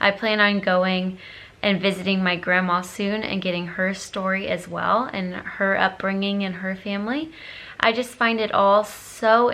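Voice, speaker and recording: Woman's voice at medium pitch, bright, sharp tone, moderate pace. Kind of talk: casual vlog talk to camera.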